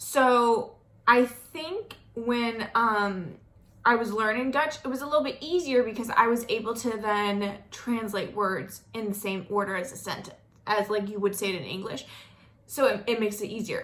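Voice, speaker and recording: A woman talks at a fairly high pitch with a slight Southern US accent and ordinary pitch variation. Audible room echo surrounds her voice. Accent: slight Southern drawl. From US South, North Florida. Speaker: vlogger. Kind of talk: casual vlog monologue.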